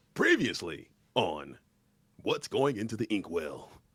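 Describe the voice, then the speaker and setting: Putting on a character voice, a man talks at a fairly slow pace with a fairly low pitch. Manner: mock-dramatic, showy.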